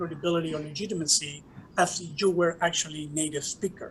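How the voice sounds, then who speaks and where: A man's high-pitched voice with a Spanish accent at a fairly quick pace. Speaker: professor and diversity director. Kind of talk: conference talk.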